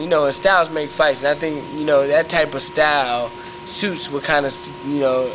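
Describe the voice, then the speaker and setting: Over noticeable background noise, a man with an American accent speaks at a fairly high pitch with fairly even intonation. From western Pennsylvania, US. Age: 20s. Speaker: professional boxer. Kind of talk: interview. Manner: halting, many fillers.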